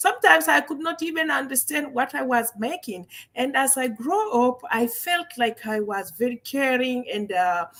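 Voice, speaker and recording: A woman with a French accent talks at a moderate pace, hardly pausing. Her high pitch swings very widely. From Guinea, West Africa. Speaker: medical doctor and wellness entrepreneur. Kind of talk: interview. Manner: halting.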